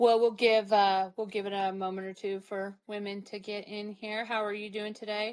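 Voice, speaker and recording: Over a quiet background, a woman speaks at a moderate pace in a monotone, flat intonation with hardly any pauses. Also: medium pitch for a woman, big swings in loudness. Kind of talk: casual conversation, podcast host.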